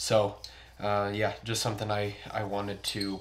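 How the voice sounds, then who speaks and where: This is a man speaking. His voice sits at a fairly low pitch. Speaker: streamer reviewing gear. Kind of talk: casual product review. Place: home room.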